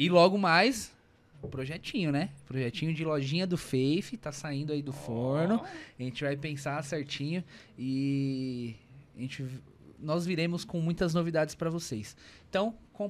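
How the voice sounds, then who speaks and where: A man in a plain, everyday voice speaks at a fairly slow pace with ordinary pitch variation. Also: fairly high pitch for a man. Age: 30s. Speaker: podcast host. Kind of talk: casual chat. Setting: studio.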